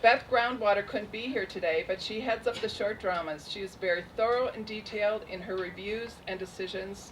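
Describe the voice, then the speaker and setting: A shaky voice moves at a moderate pace with hardly any pauses and fairly even intonation, over noticeable background noise. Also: woman, medium pitch for a woman. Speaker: festival program director. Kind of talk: award ceremony speech.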